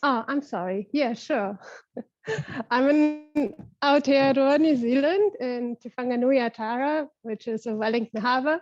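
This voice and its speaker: A woman speaks with a German accent. Her pitch is high. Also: ordinary pitch variation, fairly slow pace. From Germany, Berlin suburbs. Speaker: facilitator of online circle. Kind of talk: casual group video chat.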